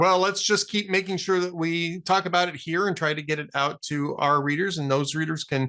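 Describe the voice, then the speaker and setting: At a fairly quick pace and with hardly any pauses, a man speaks in a high pitch with a bright, sharp tone and fairly even intonation. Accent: American. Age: 60s. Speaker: political talk show host. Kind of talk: interview podcast.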